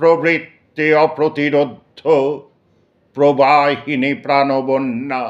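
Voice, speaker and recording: Over a quiet background, a man with a plain, everyday voice speaks at a fairly high pitch with fairly even intonation. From Kolkata. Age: 60s. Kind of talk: poetry reading.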